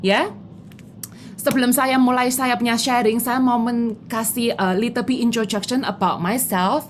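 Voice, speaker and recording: A woman's fairly high voice with a strong Javanese accent, fairly slow in pace, with fairly even intonation and very even loudness. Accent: strong Javanese accent in Indonesian. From Java, Indonesia. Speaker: insurance agent. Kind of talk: motivational talk mixing Indonesian and English.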